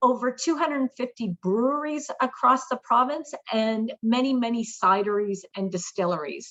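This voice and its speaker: With a Canadian accent, a woman speaks at a moderate pace and high pitch. She hardly pauses at all. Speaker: tourism marketing manager. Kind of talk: webinar presentation.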